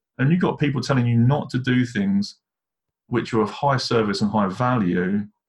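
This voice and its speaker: With a British accent, a man speaks at a moderate pace. His voice is somewhat breathy and very even in loudness. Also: medium pitch for a man, ordinary pitch variation. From England. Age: 40s. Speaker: leadership coach. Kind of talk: interview about life story.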